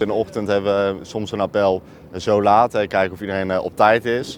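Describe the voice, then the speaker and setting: A man speaks with a fairly low pitch. His pace is very fast. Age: 20s. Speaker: soldier, group commander. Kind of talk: interview. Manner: halting, many fillers.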